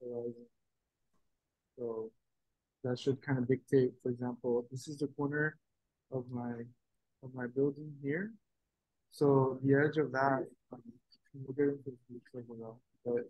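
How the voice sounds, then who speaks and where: Soft-spoken and monotone, a medium-pitched man talks at a moderate pace with long, frequent pauses and big swings in loudness. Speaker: art workshop instructor. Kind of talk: tutorial. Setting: video call. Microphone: too quiet, far from the mic.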